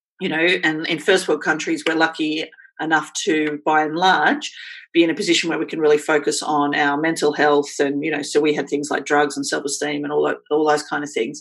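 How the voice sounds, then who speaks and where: In an Australian accent, a woman speaks fairly quickly in a flat monotone with a very deep, low pitch. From Australia, Queensland. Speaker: blogger and writer. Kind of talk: casual chat.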